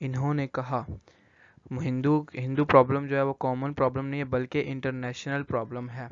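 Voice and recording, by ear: A man at a moderate pace, medium in pitch, with little pitch movement.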